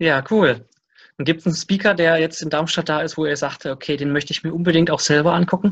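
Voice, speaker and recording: Fairly even intonation holds across the very fast pace of the speech. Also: man, fairly high pitch for a man. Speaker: interviewer. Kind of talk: interview. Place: home room. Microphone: video call.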